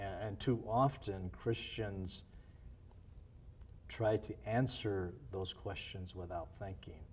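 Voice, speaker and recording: With long, frequent pauses, a man speaks at a very slow pace in a somewhat breathy voice of fairly low pitch. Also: ordinary pitch variation. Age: 60s. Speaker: former missionary and church planter. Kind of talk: interview.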